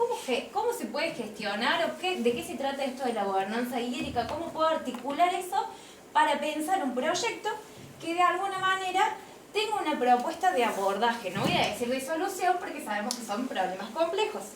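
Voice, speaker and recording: Noticeable background noise and audible room echo surround the recording. A woman speaks at a fairly quick pace in a high pitch with very wide pitch swings. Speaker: course instructor. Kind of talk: lecture. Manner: fast.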